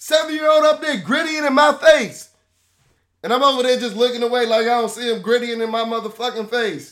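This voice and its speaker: Animated and fairly quick, a man talks at an extremely high pitch with ordinary pitch variation. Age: 20s. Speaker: sports podcast host. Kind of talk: rant.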